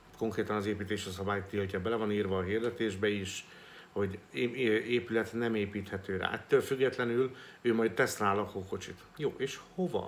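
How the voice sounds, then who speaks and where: Light background noise sits behind a man with a fairly low pitch. He talks at a moderate pace with fairly even intonation. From Hungary. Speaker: real estate agent and business vlogger. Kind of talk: solo vlog monologue. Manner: halting, with many filler sounds. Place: home room. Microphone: phone near.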